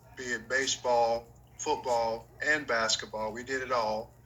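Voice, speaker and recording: Here a man speaks with an American accent. His pace is fairly slow. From North Carolina, Gastonia. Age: 60s. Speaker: former professional basketball player. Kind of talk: interview.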